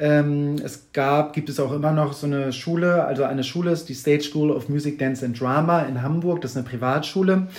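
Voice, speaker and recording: A man's fairly high voice with fairly even intonation and hardly any pauses, in audible room echo. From northern Germany, Kiel. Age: 40s. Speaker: toy collector and exhibition artist, former musical performer. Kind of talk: podcast interview. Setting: in person at guest's place in Hamburg.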